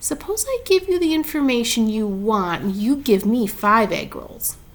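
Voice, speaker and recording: A put-on character voice full of hissing and very wide pitch swings, over light background noise. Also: woman, fairly high pitch for a woman, moderate pace. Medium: read story. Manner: low-voiced, sly.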